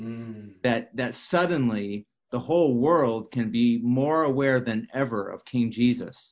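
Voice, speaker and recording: At a fairly slow pace, a man talks in an ordinary speaking voice of medium pitch with ordinary pitch variation. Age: 50s. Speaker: prophetic minister. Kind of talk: casual discussion.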